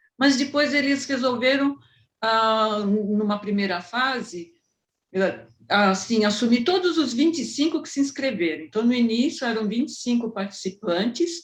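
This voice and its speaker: A somewhat breathy woman's voice, fairly high in pitch, with very wide pitch swings and a fairly slow pace. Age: 60s. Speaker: amateur theatre actress, retiree. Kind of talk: interview.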